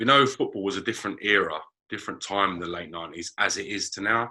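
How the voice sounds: This man's low voice has a bright, sharp tone with a slightly husky edge. He talks fast, with ordinary pitch variation.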